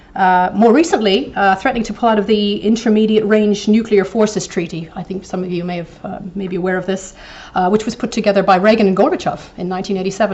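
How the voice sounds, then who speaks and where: Noticeable background noise accompanies a woman with a Canadian accent speaking at a very fast pace and medium pitch. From eastern Canada, New Brunswick. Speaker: professor, invited lecturer. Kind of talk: lecture. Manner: hesitant, many fillers.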